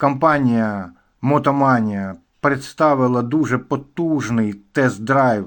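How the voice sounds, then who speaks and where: A man's medium-pitched voice, very slow, with ordinary pitch variation, on a very clean recording with a silent background. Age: 60s. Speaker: motorcycle vlogger. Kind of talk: casual vlog monologue.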